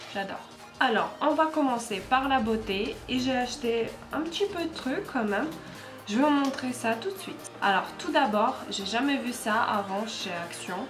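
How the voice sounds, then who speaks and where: Over music in the background, a woman with a non-native accent speaks at a fairly slow pace in a high pitch with lively intonation. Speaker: haul vlogger. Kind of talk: casual talk to camera.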